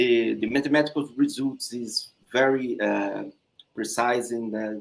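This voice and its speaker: A man with a Brazilian Portuguese accent, medium pitch, fairly even intonation and a fairly slow pace. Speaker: thesis examiner. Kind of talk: thesis defense feedback. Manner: halting.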